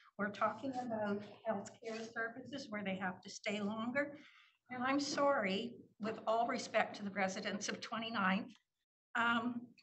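Fairly high in pitch with fairly even intonation, a woman speaks at a moderate pace amid audible room echo. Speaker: city councillor. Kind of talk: council meeting debate. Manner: emphatic.

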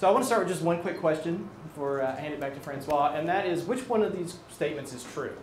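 Talking at a very fast pace with hardly any pauses, a man uses a high pitch and lively intonation, with light background noise and audible room echo. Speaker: technical product evangelist. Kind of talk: product presentation. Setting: presentation room with live audience, filmed. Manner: jokey. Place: meeting room.

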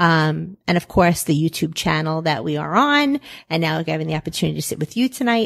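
At a fairly quick pace and with lively intonation, a woman with an American accent speaks at a very deep, low pitch, in a very clean recording with a silent background and a dry, close sound with no echo. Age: 50s. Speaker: pizzeria owner. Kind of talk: interview.

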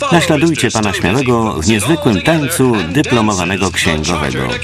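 A man's fairly low voice with very wide pitch swings at a fairly quick pace, music in the background. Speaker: voice-over reader. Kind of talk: voice-over translation of a comedy sketch.

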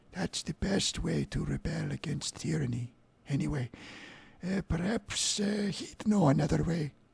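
The raspy, put-on character voice moves at a moderate pace. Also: man, fairly high pitch for a man. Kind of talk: comic character voice. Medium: game stream. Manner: grumpy, complaining.

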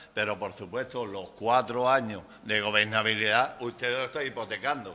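Here a man speaks at medium pitch with a bright, sharp tone. His pace is moderate and his intonation fairly even. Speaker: councillor in debate. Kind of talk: council meeting debate. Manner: loud. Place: meeting room. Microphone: podium.

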